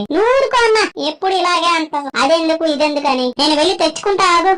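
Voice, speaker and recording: Extremely high pitch in a cartoonish character voice, delivered at a moderate pace. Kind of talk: comedy skit narration. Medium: puppet. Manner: exasperated, complaining.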